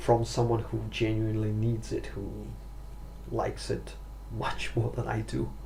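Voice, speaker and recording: A man talks at a fairly slow pace through audible room echo and noticeable background noise. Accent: Russian. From Russia. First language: Russian. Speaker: pipe smoking vlogger. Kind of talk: casual vlog monologue. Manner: halting, stumbling for words.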